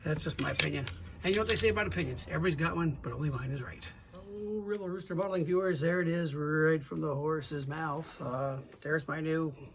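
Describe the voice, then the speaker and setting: In a room with audible echo and noticeable background noise, a man with a fairly high voice talks at a very fast pace. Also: ordinary pitch variation. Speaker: scale model builder. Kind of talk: tutorial. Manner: halting, stuttering; casual.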